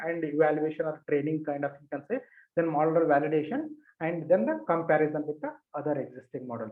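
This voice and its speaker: This man's fairly high voice moves at a fairly quick pace with ordinary pitch variation. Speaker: workshop instructor. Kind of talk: lecture. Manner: hesitant, many fillers.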